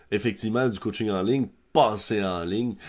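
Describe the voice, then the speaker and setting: In a Quebec accent, the speaker talks at a moderate pace on a very clean recording with a silent background. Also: man. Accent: Québécois French. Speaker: podcast host, software founder. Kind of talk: podcast interview. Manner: many fillers.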